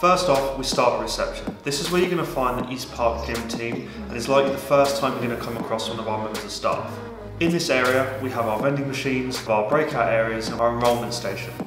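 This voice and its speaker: Over clear music and audible room echo, a man talks very fast with hardly any pauses and ordinary pitch variation. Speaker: presenter. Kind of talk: promotional tour walkthrough. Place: gym.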